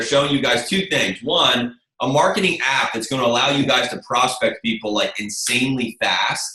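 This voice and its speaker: A man's fairly high-pitched voice. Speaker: network marketing software trainer. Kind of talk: webinar presentation. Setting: webinar call. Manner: fast; animated.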